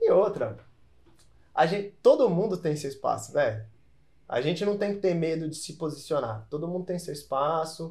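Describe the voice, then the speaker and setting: The delivery moves at a moderate pace with ordinary pitch variation. Long, frequent pauses break it up. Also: man, high pitch for a man. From São Paulo, Brazil. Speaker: tattoo artist and youtuber. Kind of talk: casual chat. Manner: casual slangy delivery.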